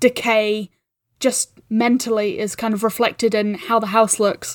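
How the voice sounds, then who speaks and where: A woman with a New Zealand accent speaks at a fairly high pitch in a monotone, flat intonation. The recording is very clean with a silent background and a dry, close sound with no echo. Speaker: podcast producer. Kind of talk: casual chat.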